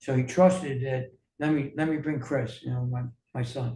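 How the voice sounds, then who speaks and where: A man with an American accent speaks at a medium pitch with a dark, mellow, somewhat breathy tone. His pace is moderate, with ordinary pitch variation. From New York. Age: 60s. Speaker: wellness coach. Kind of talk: interview. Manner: halting, many fillers.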